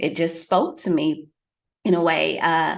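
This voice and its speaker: The speaker talks with a Southern US accent at a fairly slow pace. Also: woman. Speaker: fitness expert and public speaker. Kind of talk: interview.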